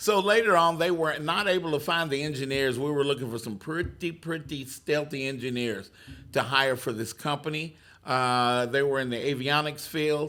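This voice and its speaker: A man speaks with a strong Texas accent at a moderate pace. His pitch is fairly high, with ordinary variation. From Texas (McGregor). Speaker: career coach and job-seeker radio host. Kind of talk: interview storytelling. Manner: hesitant, many filler words.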